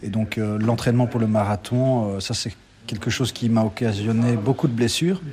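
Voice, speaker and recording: Over noticeable background noise, a man talks with fairly low pitch and fairly even intonation. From Belgium, Liège area. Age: 40s. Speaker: amateur ultra trail runner. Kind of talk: interview. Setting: café. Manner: halting, many repetitions.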